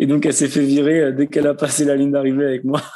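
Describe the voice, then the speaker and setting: In a slight southwestern French accent, a man speaks at a moderate pace with a fairly high pitch and a dark, mellow tone. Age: 20s. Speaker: marathon runner, soldier, cancer survivor. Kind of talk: podcast interview answer.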